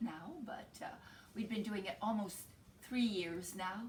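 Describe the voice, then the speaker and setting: Her voice comes across as somewhat breathy. The woman speaks at a medium pitch. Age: 60s. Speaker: tarot reader. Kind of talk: tarot forecast to camera. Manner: hesitant, many fillers.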